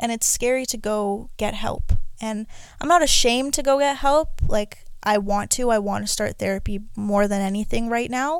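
A woman talks at a moderate pace in a fairly high pitch with ordinary pitch variation. It is a normal speaking voice. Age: 20s. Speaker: podcast host. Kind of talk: personal monologue.

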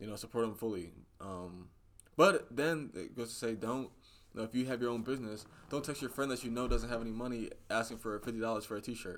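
Medium in pitch with ordinary pitch variation, this man has an unremarkable speaking voice. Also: fairly quick pace. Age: 20s. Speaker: political podcast co-host. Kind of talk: casual chat.

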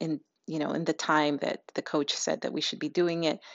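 This woman's voice has a very deep, low pitch. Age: 40s. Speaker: podcast host. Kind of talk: solo monologue. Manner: halting, many fillers.

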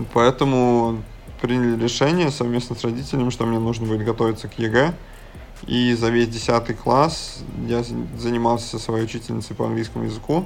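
At a moderate pace, with long, frequent pauses and fairly even intonation, the speaker talks over music in the background. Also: man. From Russia, Samara region (Syzran). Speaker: basketball and fitness coach. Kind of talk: interview.

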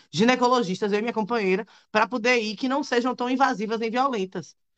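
At a fairly quick pace, a woman speaks in an ordinary speaking voice, fairly high in pitch with ordinary pitch variation. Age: 30s. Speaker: lawyer and activist. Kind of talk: live panel discussion.

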